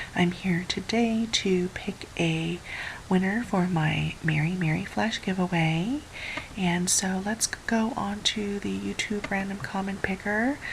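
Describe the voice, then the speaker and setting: A woman whispers at a fairly slow pace. Noticeable background noise can be heard behind her. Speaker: craft youtuber. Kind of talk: casual vlog. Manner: whispering; halting.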